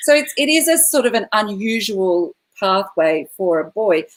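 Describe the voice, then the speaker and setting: A woman with an Australian accent, fairly high in pitch, with very wide pitch swings. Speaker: classical singer performing at corporate events. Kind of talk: live online panel interview. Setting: online video livestream.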